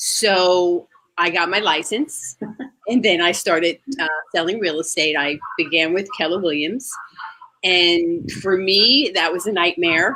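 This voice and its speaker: A woman's fairly low voice in a New Jersey accent, fairly slow, with ordinary pitch variation. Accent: northern US (New Jersey). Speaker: real estate agent. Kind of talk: interview. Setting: outdoors.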